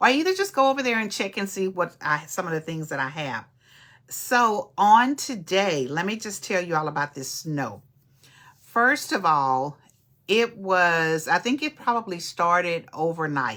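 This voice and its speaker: A woman with an East Texas accent speaks at a fairly slow pace in a fairly low pitch, her tone animated, bright and sharp, with very wide pitch swings. The recording is very clean, with a silent background. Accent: East Texas Southern US. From East Texas (Nacogdoches). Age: 60s. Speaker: podcast host and social worker. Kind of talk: casual livestream chat. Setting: live stream.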